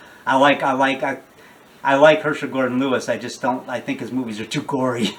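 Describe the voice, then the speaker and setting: Through noticeable background noise, a man speaks fairly quickly at a medium pitch with fairly even intonation. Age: 60s. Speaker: independent horror filmmaker. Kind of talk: interview. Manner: halting, many fillers and restarts; talkative, rambling.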